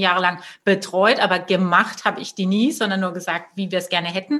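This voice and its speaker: Bright, sharp tones from a woman, delivered fairly quickly. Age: 30s. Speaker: entrepreneur, web and branding agency owner. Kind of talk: interview.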